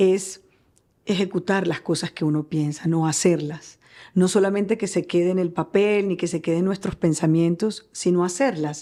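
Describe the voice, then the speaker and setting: A woman speaks with a Barranquilla accent at a fairly low pitch and a fairly slow pace. Her pitch variation is ordinary, on a very clean recording with a silent background. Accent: Barranquilla Colombian accent, kept. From Colombia, Barranquilla (Caribbean coast). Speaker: journalist. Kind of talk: interview.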